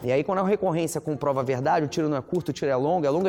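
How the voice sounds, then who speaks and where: Fairly high male voice with ordinary pitch variation. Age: 30s. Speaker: entrepreneur, fashion brand founder. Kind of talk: interview.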